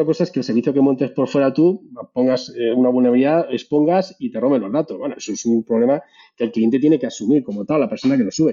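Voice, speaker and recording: A man talks at a very fast pace, his pitch medium and its variation ordinary. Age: 40s. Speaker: cloud security specialist. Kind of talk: casual chat.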